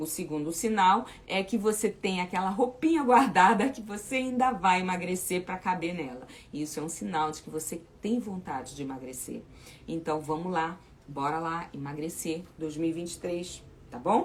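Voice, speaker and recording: A woman uses a normal speaking voice with a fairly low pitch and lively intonation. She keeps a moderate pace, and her loudness swings widely. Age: 60s. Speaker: weight loss coach. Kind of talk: live chat with viewers. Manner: informal, repetitive fillers.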